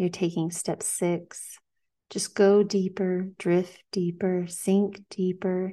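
A woman speaks very slowly at a medium pitch in a dark, mellow, soothing and gentle tone. Her intonation stays flat and monotone. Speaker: hypnotherapist podcast host. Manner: slow, soothing, repetitive, hypnotic cadence with gentle commands.

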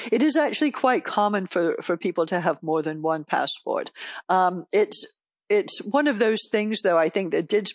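On a very clean recording with a silent background and a dry, close sound with no echo, a woman with an American accent speaks at a moderate pace with lively intonation. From UK-born, grew up in Canada and the US. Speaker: sister of a detainee, family advocate. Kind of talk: interview. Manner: hesitant, many fillers.

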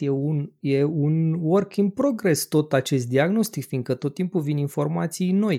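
Speaking very slowly with hardly any pauses, a man uses a fairly high pitch, ordinary pitch variation and a dark, mellow tone, in a dry, close sound with no echo on a very clean recording with a silent background. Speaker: podcast host and radiologist. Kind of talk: casual chat.

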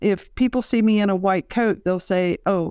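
With an American accent, a woman uses an ordinary speaking voice at medium pitch with ordinary pitch variation, in a very clean recording with a silent background. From rural Kentucky and West Virginia. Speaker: laboratory professional and healthcare researcher. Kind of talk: interview.

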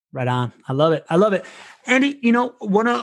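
The words come very fast. Behind them the background stays quiet. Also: man. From Venezuela. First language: Spanish. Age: 40s. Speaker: podcast host. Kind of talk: casual interview conversation.

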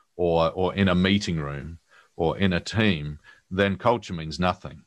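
His voice is very deep and low. This man talks at a moderate pace with ordinary pitch variation. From New Zealand. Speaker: author and leadership speaker. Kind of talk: podcast interview. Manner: hesitant, many fillers and repeated words.

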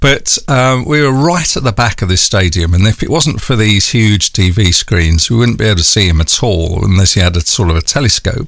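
Speaking with a North London accent, a man keeps a moderate pace and hardly any pauses. His fairly low voice has lively intonation and very even loudness. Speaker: radio broadcaster and podcast host. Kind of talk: interview. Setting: remote call.

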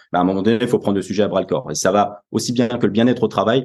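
Very fast and fairly low-pitched, a man talks with ordinary pitch variation. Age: 20s. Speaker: business executive. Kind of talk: interview.

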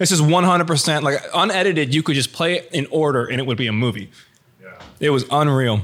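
Fairly quick and lively, a man with a normal speaking voice talks at a fairly high pitch. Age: 30s. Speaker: podcast co-host and producer. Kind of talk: casual chat. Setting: studio.

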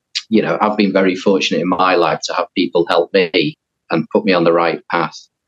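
In a Liverpool accent, a man talks at a fairly quick pace in a fairly low voice, the sound dry and close with no echo. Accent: Liverpool (Scouse) English. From northern England, near Liverpool. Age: 40s. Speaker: professional golfer. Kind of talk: interview.

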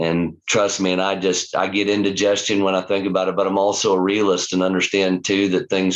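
A man speaks with a Midwestern US accent. His pitch is very deep and low. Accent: rural Midwestern US. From Kansas. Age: 50s. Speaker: cattle rancher. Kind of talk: casual interview. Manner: halting.

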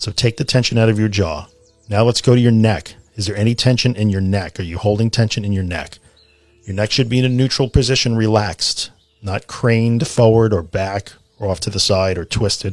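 Music plays in the background as a man speaks at a fairly quick pace. His fairly low voice keeps a fairly even intonation. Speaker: podcast host guiding a relaxation exercise. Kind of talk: guided meditation, relaxation tutorial. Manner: instructional, with pauses and repetition.

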